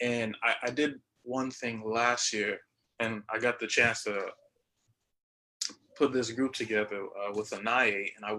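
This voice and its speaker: Bright and sharp in tone, a man speaks at a medium pitch and a moderate pace. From Haitian and Bahamian heritage. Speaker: jazz musician, panelist. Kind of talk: panel discussion. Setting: live-streamed video panel. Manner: halting.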